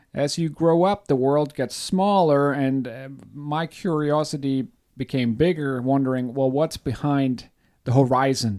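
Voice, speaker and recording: A man with a German accent speaks at a fairly slow pace in a dark, mellow tone. His pitch is fairly high with ordinary variation, and the recording is very clean with a silent background. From Germany. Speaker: podcast co-host, life coach. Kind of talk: casual podcast chat. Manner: halting, many repeats.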